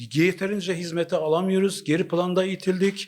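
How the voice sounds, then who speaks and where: High-pitched male speech, fairly even in intonation. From Turkey. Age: 50s. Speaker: local association chairman. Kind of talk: street interview statement. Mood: earnest, mildly aggrieved. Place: office.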